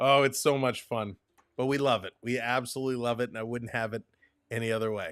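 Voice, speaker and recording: Enthusiastic in tone, this speaker has a Canadian accent, a moderate pace and ordinary pitch variation. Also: man. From Canada. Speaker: hockey broadcaster. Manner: enthusiastic, conversational.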